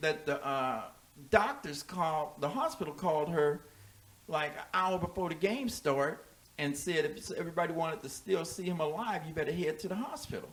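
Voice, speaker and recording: Over noticeable background noise, a man talks at a moderate pace. His voice is high-pitched, with ordinary pitch variation. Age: 60s. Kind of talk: casual chat. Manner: animated.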